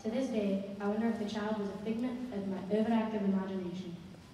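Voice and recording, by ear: Fairly even intonation, reading aloud in a natural voice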